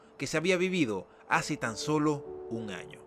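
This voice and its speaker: Over music in the background, a man with a fairly high pitch speaks at a moderate pace with very wide pitch swings. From Venezuela, Caracas. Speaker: YouTube documentary host. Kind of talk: documentary narration.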